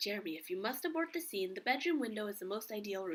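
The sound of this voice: Heard here is an unforced reading voice.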